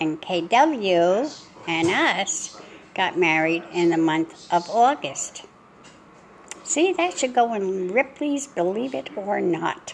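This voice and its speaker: A woman with a medium pitch speaks at a very slow pace, her pitch swinging very widely over noticeable background noise. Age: 80s+. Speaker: family vlogger. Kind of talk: casual chat. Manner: rambling conversational.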